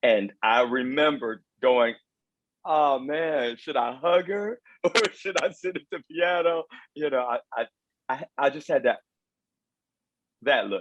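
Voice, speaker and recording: Speaking fairly slowly with long, frequent pauses, a man with an American accent uses lively intonation at a fairly high pitch. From London, then raised in the US from age five or six. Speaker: vocal coach. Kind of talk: interview.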